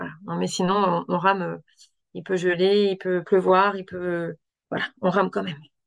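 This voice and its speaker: The background stays quiet. A woman talks rather slowly. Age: 40s. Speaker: doctor. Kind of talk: interview. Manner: halting.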